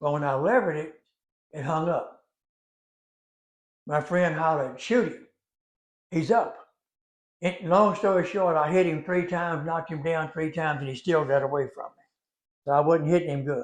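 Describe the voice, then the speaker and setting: A fairly high-pitched man speaks with a Louisiana accent at a moderate pace. His pitch varies in an ordinary way, and he takes long, frequent pauses. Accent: Louisiana Southern US. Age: 80s+. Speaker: storyteller. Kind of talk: storytelling. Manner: conversational, folksy.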